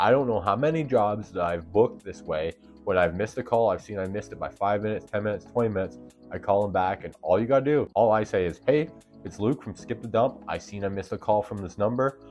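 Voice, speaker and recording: Very fast speech from a man with fairly low pitch and ordinary pitch variation, faint music in the background. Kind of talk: tutorial advice vlog. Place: home room. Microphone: lapel.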